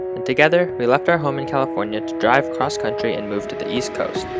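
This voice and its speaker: Fairly quick speech over loud background music. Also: man. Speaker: travel vlogger. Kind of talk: casual vlog chat.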